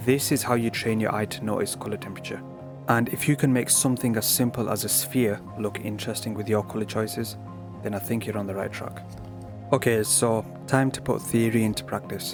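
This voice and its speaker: A man with a British accent speaks at a fairly quick pace and medium pitch. Music plays in the background. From Britain. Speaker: digital art tutor. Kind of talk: art tutorial narration. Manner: flat, low-key.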